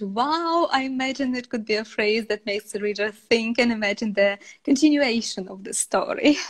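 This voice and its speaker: On a very clean recording with a silent background, a woman talks at a moderate pace with hardly any pauses. She has an ordinary speaking voice, fairly high pitch and ordinary pitch variation. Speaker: English teacher, livestream host. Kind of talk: livestream interview hosting.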